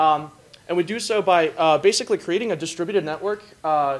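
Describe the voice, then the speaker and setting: Here is a man with a high voice and ordinary pitch variation. He talks at a fairly quick pace. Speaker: student hackathon participant; presenter. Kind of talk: demo presentation. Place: hall. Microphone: camera far.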